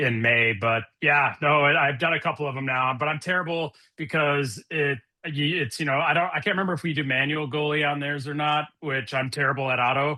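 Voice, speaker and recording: A man with an American accent has an unremarkable speaking voice, fairly high in pitch. He talks at a fairly quick pace with fairly even intonation. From Minnesota, US Midwest. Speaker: podcast guest, video game player. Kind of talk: casual chat.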